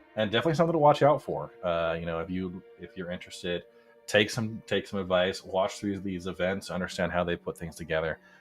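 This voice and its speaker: A man with an American accent, very deep and low pitch, and a very fast pace, with music in the background. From United States. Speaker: esports race commentator. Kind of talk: live commentary. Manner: casual, hesitant with fillers.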